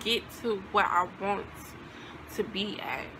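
A woman speaks with ordinary pitch variation. Background noise is noticeable. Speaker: vlogger. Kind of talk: casual vlog chat. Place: home room.

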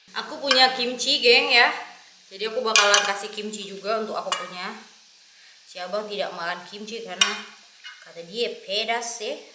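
Loud background noise sits behind the speaker. A woman talks at a moderate pace. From Malay region of Sumatra, Indonesia (Batak). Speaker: cooking vlogger. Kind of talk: casual talk to camera. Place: home room. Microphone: phone near.

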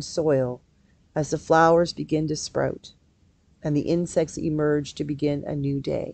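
A woman speaks fairly slowly in a very deep, low voice with a dark, mellow tone, the sound dry with no echo. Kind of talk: guided meditation reading. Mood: calm, gentle, soothing. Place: office. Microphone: earbuds.

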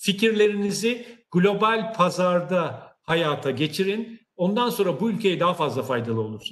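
Against a quiet background, a man talks at a fairly slow pace in a high pitch, with lively intonation and hardly any pauses. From Turkey. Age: 60s. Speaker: technology company CEO; guest. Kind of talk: career talk to online audience. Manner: hesitant, many filler sounds. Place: office. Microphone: video call.

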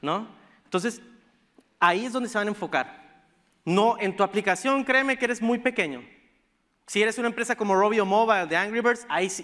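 Speaking at a fairly quick pace yet pausing long and often, a man uses a high pitch and ordinary pitch variation in a bright, sharp tone. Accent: northern Mexican. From northern Mexico (Sonora, Baja California). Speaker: tech startup program director, conference speaker. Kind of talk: conference talk. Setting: stage with audience. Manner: casual, informal.

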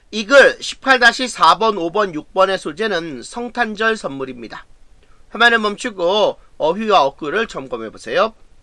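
A man's raised, projected voice, bright and sharp in tone and high in pitch, at a very slow pace against a quiet background. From South Korea. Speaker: high school English teacher. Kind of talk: lecture. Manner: measured reading of translations. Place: home room.

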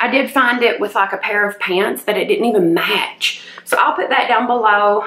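Audible room echo surrounds a woman talking at a moderate pace. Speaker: lifestyle vlogger. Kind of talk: casual vlog chat. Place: home room. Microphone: phone near.

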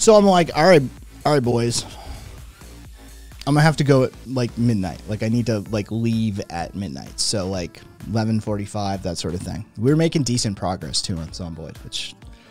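Faint music sits in the background as a man with a fairly low pitch speaks at a moderate pace, his voice showing big swings in loudness in a dry sound with no echo. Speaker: livestreamer. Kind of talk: casual stream storytelling. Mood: amused, laughing often. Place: home room. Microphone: studio mic.

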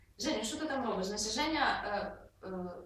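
In a natural reading voice, the words come out with lively intonation.

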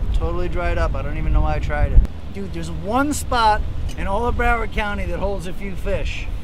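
At a moderate pace, a man talks in a dry sound with no echo, with noticeable background noise behind him. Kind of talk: casual vlog chat. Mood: joking, griping. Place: boat. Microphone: phone near.

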